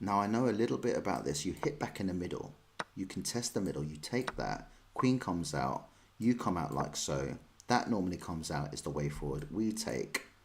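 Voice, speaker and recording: At a fairly quick pace, a man with a London accent speaks in a very deep, low voice with very wide pitch swings. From London, England. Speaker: chess streamer. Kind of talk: live stream chat and chess commentary. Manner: casual, chatty.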